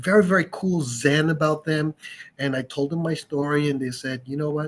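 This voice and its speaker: A man with a fairly high pitch speaks in a somewhat breathy voice. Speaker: audio expert and store owner. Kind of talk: casual chat. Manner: calm, sleep-inducing.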